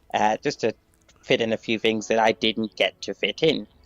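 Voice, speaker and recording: A man talks at a moderate pace over background music, the sound dry and close with no echo. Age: 60s. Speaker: caller leaving voice message. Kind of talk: recorded voice message. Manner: halting.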